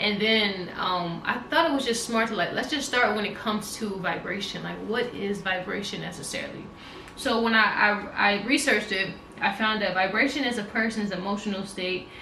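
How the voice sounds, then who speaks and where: The pace is fairly quick, with noticeable background noise. Room echo is audible. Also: woman, medium pitch for a woman, ordinary pitch variation. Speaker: wellness vlogger. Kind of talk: casual monologue. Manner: fast.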